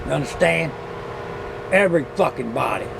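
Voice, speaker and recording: A man with a fairly high pitch speaks in an angry tone at a fairly quick pace, with audible room echo and noticeable background noise. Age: 70s. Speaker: vlogger. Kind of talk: porch rant. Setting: outdoors on porch. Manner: angry, profane.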